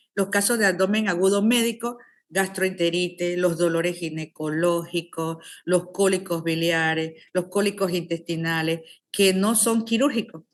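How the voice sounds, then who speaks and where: This woman has a fairly low pitch. Her intonation is fairly even. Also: very even loudness. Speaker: surgeon and lecturer. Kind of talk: lecture. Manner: fast.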